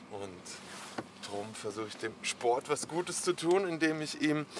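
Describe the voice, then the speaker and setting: Fairly high-pitched for a man, this male voice has lively intonation. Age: 40s. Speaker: helmet maker and skater. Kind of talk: casual interview.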